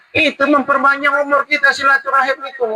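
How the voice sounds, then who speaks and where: A man speaks over noticeable background noise. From North Sumatra, Indonesia (Teluk Nibung, Tanjung Balai; later Dumai, Riau). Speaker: Islamic preacher. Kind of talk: religious talk at community iftar. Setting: community gathering at a cafe restaurant. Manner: animated, conversational.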